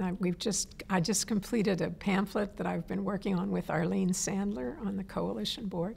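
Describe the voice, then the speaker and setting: A woman with vocal fry speaks at a moderate pace and medium pitch, with ordinary pitch variation and hardly any pauses. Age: 70s. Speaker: environmental activist. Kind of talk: interview. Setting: on camera interview.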